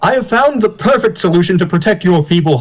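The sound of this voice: Lively intonation from an unforced reading voice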